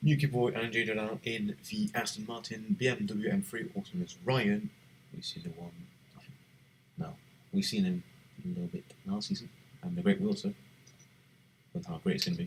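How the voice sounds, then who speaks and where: A man talks at a fairly quick pace in a fairly high voice with vocal fry, very wide pitch swings, big swings in loudness and long, frequent pauses. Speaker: livestreamer hosting a sim racing league draft. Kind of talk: live commentary. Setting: live stream. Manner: whispering, keeping voice down; animated.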